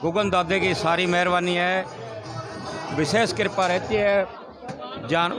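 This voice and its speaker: Against crowd noise in the background, a man with a high voice talks with fairly even intonation. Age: 60s. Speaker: village cowshed head. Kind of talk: interview.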